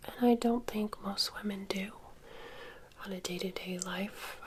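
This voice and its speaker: Soft-spoken and relaxed, a woman talks at a medium pitch with fairly even intonation. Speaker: ASMR and beauty content creator. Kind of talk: ASMR makeup get-ready-with-me. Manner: soft-spoken, relaxed.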